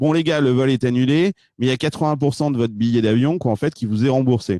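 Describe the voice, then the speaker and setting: A man at a very fast pace, dark and mellow in tone, with ordinary pitch variation. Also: medium pitch for a man, very even loudness, dry, close sound with no echo. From France. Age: 40s. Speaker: startup investor. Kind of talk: interview. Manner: hesitant, many fillers.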